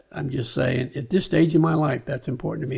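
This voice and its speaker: In a plain, everyday voice, a man with an American accent speaks at a fairly high pitch with ordinary pitch variation. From California. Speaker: former mayor and businessman. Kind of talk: podcast interview.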